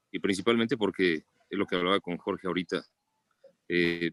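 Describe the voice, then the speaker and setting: A man speaks at a fairly quick pace in a Mexican accent, with a dry, close sound with no echo. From Mexico City. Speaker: pediatrician. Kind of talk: book club discussion.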